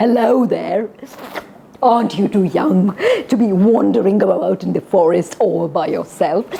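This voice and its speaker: A female-sounding, husky voice puts on a character at a medium pitch. The pace is moderate. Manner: cunning, sly.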